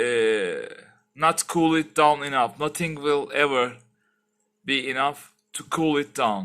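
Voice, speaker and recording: Over a quiet background, a man with a non-native accent talks at a very slow pace, his fairly high voice showing ordinary pitch variation. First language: not English. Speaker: tech YouTuber. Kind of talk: tutorial. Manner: halting; casual. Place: home room. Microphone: headset.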